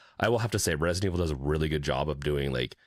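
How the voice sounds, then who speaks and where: A man's very deep, low voice with vocal fry, ordinary pitch variation and a very fast pace, on a very clean recording with a silent background. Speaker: gaming podcast co-host. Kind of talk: casual chat.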